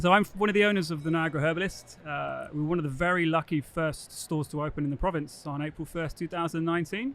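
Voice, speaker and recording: Over noticeable background noise, a man with an English accent speaks at a very fast pace with hardly any pauses and ordinary pitch variation. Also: fairly high pitch for a man. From England. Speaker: cannabis store owner. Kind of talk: casual interview. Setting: expo floor.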